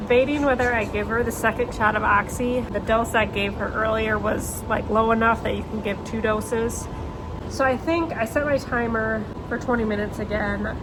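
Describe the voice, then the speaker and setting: A woman with an American accent, fairly high in pitch, at a moderate pace with fairly even intonation, amid noticeable background noise and audible room echo. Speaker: farmer. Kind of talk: casual vlog narration. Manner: whispering; casual, chatty.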